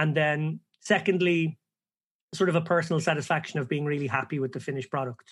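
Over a quiet background, a man with an Irish accent talks at a fairly quick pace. His pitch is fairly high, with ordinary variation. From Ireland. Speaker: professional poker player and podcast co-host. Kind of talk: casual interview conversation. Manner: animated.

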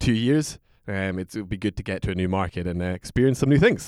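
A man in a Scottish accent talks at a very fast pace with ordinary pitch variation, the sound dry and close with no echo on a very clean recording with a silent background. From Aberdeen, Scotland. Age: 20s. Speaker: whisky brand ambassador. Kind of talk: casual chat.

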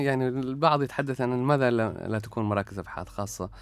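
Music sits in the background as a man talks. His pace is fairly quick and his pitch varies in an ordinary way. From Oman, Salalah (Dhofar). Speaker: academic researcher. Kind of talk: interview. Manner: halting.

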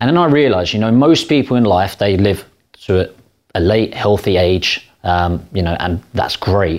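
This man has a plain, everyday voice, pitched fairly low and delivered at a moderate pace on a very clean recording with a silent background. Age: 20s. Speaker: property deal packager. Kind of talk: interview. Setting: studio.

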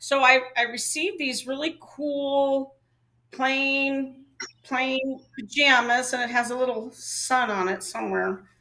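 Speaking at a very slow pace, a woman uses a raised, projected voice with a high pitch, ordinary pitch variation and a bright, sharp tone. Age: 60s. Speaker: host's wife, co-guest. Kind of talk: casual chat.

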